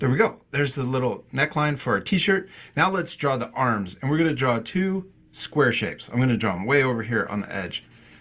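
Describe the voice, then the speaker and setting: A man speaks at a fairly quick pace in a calm tone. His pitch is medium, with very wide pitch swings. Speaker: art teacher. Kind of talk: tutorial. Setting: video call. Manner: calm and encouraging.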